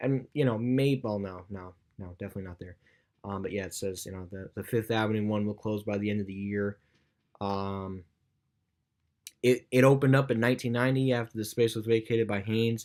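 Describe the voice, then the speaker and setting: A man speaks at a fairly quick pace in a fairly low pitch, his intonation fairly even but his loudness swinging widely, on a very clean recording with a silent background. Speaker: YouTuber. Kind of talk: casual vlog commentary. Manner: fast; halting, many fillers.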